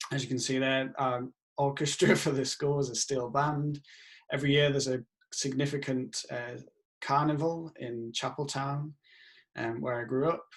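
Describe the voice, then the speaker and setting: With a strong Yorkshire accent, a man speaks at a moderate pace in a fairly high pitch, his intonation monotone and flat. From northern England, Leeds, Yorkshire. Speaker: professor. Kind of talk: self-introduction video with slides. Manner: casual with filler sounds.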